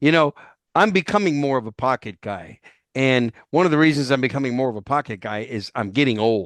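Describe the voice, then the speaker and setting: Over a quiet background, a man with an ordinary speaking voice and an American accent talks at a fairly quick pace, his medium pitch moving in lively intonation. The sound is dry and close with no echo. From New York. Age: 60s. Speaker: podcast host. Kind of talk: interview.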